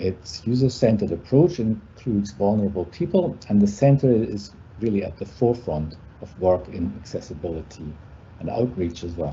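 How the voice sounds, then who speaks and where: With a German accent and a fairly low pitch, a man speaks at a moderate pace using lively intonation. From Germany. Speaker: university lecturer. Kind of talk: presentation. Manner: halting.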